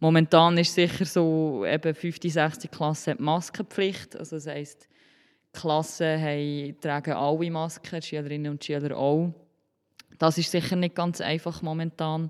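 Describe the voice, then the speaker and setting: A woman with a Solothurn accent speaks in a very deep, low voice at a fairly slow pace. Her intonation is fairly even, and the recording is very clean with a silent background. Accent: Swiss German (Solothurn). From Switzerland, Solothurn. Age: 20s. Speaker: primary school teacher. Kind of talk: interview.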